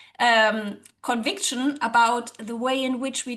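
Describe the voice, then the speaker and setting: A woman with a German accent speaks at a high pitch. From Germany. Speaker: social psychologist and language teacher. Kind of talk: interview.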